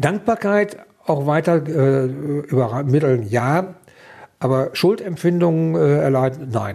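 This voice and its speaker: A man with a fairly high pitch speaks at a very slow pace, his intonation lively. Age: 60s. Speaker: liver transplant recipient, retiree. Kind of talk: interview testimony.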